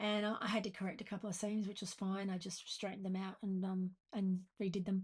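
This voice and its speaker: A woman with an Australian accent speaks at a medium pitch. Her voice is somewhat breathy, and her intonation is monotone and flat. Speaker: sewing pattern designer. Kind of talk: sewing tutorial talk to camera. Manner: fast.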